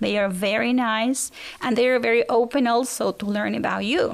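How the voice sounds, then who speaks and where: This woman has a fairly high pitch, ordinary pitch variation and a Spanish accent. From Argentina. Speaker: exchange teacher. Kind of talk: interview.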